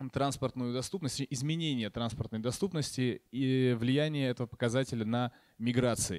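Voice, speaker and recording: A man speaks with ordinary pitch variation. The sound is dry with no echo, and the background is quiet. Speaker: economic geographer; conference panelist. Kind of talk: conference talk. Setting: stage with audience. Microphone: handheld.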